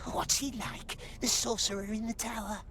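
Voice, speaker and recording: A put-on character voice that sounds female, with a fairly high pitch, goes at a moderate pace over clear background noise. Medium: video game. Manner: muttering to himself, broken grammar.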